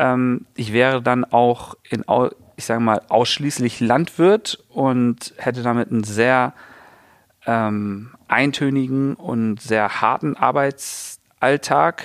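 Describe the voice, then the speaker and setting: Recorded with a dry, close sound and no echo, a man speaks at a very slow pace, his medium pitch showing ordinary variation. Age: 30s. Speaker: farmer and founder. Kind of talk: interview. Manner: hesitant with fillers.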